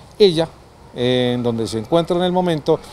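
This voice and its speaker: Against light background noise, a man with a normal speaking voice talks at a moderate pace, his fairly high pitch showing ordinary variation. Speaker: TV program host. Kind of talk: presenting, introducing segments. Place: street. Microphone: handheld.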